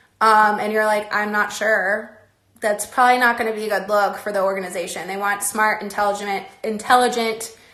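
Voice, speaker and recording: A woman's fairly high, flat monotone delivered at a fairly quick pace. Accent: American. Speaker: former pro dance team member giving advice. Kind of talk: live stream Q&A talk. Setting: online live stream.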